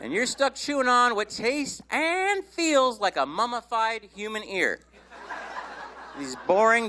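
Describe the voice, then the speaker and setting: This man's voice is raised and projected, with a high pitch. He speaks at a fairly slow pace. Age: 60s. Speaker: stand-up comedian. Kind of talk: stand-up. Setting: stage with audience.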